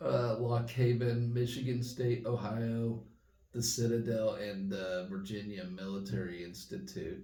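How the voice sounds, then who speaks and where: A man speaks at a fairly slow pace in a medium pitch, somewhat breathy, with ordinary pitch variation and audible room echo. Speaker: sports fan vlogger. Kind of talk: casual sports update monologue. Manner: quieter than usual; hesitant, many fillers.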